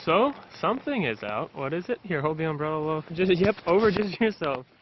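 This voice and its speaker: At a fairly quick pace, a man talks in a high pitch with very wide pitch swings. Noticeable background noise is present. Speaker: travel vlogger. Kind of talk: casual vlog narration. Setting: outdoors at a zoo in the rain. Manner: fast. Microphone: phone camera mic, switched phones.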